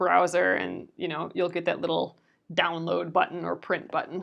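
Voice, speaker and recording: A woman with a fairly low voice mumbles at a moderate pace, with vocal fry. Her intonation stays fairly even. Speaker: craft livestream host. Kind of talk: casual crafting livestream chat. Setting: livestream video. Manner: mumbling.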